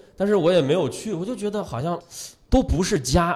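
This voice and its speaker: A man talking at a very fast pace, with lively intonation. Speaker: radio host and stand-up comedian. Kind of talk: casual chat.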